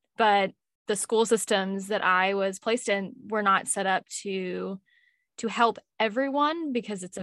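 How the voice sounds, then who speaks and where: A woman with a normal speaking voice and a medium pitch talks at a fairly slow pace with ordinary pitch variation. The sound is dry and close with no echo, on a very clean recording with a silent background. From Louisville, Kentucky, US. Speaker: mental health podcaster. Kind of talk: casual interview.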